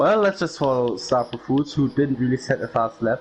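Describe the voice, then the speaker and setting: A man with a German accent speaks at a fairly quick pace in a medium pitch, with noticeable background noise. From Germany. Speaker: sim racing commentator. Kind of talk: live commentary.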